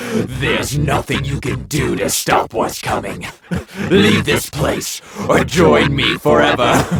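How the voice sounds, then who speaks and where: Putting on a character voice, a man talks raspily at a medium pitch and a fairly slow pace. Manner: menacing.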